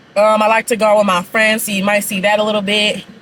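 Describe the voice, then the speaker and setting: A fairly high-pitched woman's voice against noticeable background noise. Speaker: YouTuber. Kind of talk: casual chat. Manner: eating while talking.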